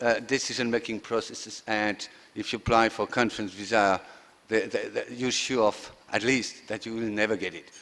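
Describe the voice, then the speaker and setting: A man speaks in a French accent at a moderate pace. His medium-pitched voice has monotone, flat intonation. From France. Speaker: conference session chair, economist. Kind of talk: chairing remarks at conference. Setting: stage with audience. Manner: halting, many fillers.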